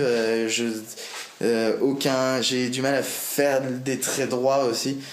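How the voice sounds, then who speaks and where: A man's very slow, flat monotone, with audible room echo and light background noise. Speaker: vlogger. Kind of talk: casual vlog monologue. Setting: at home desk, to camera. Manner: hesitant, many fillers. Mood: relaxed, self-mocking. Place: home room. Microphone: phone near.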